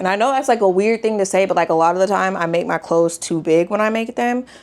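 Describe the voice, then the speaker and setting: Medium pitch and ordinary pitch variation in a woman's speech. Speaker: sewing vlogger. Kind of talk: casual vlog talk to camera. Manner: loud, excited.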